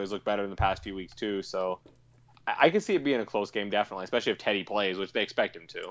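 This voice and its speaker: This man speaks very fast with an American accent. His pitch is fairly low. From Colorado. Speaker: sports podcaster. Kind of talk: casual chat.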